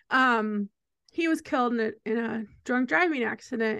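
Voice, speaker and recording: Against a quiet background, a woman with a high pitch and a bright, sharp tone talks at a moderate pace with lively intonation. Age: 40s. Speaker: music journalist. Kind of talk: casual chat.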